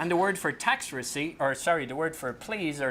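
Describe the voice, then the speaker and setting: A man's fairly quick speech in an Irish accent, with ordinary pitch variation, over noticeable background noise. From Ireland. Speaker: public speaking coach and comedian. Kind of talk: conference talk with humour.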